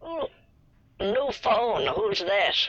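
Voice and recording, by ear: This female-sounding voice is a put-on character voice. It sits at a fairly high pitch.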